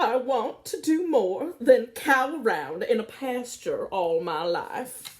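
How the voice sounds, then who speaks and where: A woman uses a put-on character voice with a high pitch and very wide pitch swings. She goes at a fairly slow pace with hardly any pauses. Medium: read story. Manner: stubborn, plaintive.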